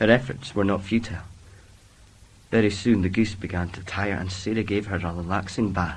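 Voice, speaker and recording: This man speaks with a Scottish accent at a fairly quick pace. His voice is somewhat breathy. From northeast Scotland, Elgin. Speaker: drama student. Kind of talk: casual interview answers; reading aloud. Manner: halting, many fillers.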